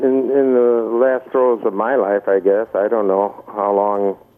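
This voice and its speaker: The speech goes at a very slow pace over noticeable background noise. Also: man. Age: 70s. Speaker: author. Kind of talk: radio interview. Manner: halting, many fillers.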